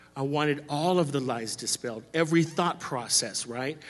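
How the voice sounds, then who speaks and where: At a moderate pace, a man with an American accent talks in an ordinary speaking voice, fairly high in pitch, with ordinary pitch variation. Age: 40s. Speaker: church member sharing testimony. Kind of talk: testimony. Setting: church stage with congregation.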